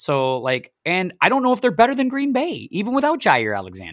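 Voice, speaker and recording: Very wide pitch swings mark this man's speech, in an American accent. His pace is fairly quick. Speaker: podcast host. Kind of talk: casual chat. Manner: chatty, jokey.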